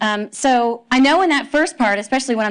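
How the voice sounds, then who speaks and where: Fairly high pitch from a woman speaker. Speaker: agile coach. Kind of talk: conference talk. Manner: usually fast talker.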